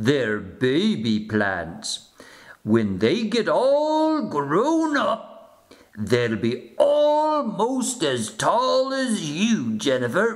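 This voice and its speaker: A man does a put-on character voice, pitched high and delivered at a very slow pace. There's audible echo. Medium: read story. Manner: gentle, patient.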